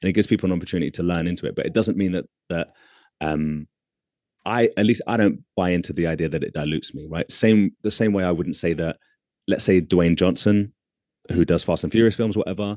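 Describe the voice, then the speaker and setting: In a dry, close sound with no echo, a man speaks with a confident tone, his very deep, low voice dark and mellow with ordinary pitch variation. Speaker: artist. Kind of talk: casual chat. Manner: confident, articulate.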